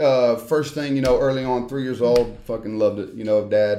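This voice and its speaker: A man with a Southern US accent, music in the background. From Tennessee. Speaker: former pro wrestler and wrestling trainer. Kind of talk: casual chat. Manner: halting.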